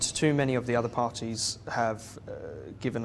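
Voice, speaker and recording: A man with a medium pitch speaks in a southeast English accent. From England, Kent (Gravesend). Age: young. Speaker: local council candidate. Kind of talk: interview. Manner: hesitant, many fillers.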